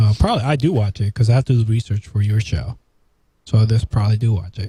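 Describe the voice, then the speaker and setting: A man talks very fast in a fairly low, somewhat breathy voice with a dark, mellow tone, and the sound is dry and close with no echo. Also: ordinary pitch variation. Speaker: show co-host and producer. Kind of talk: casual chat.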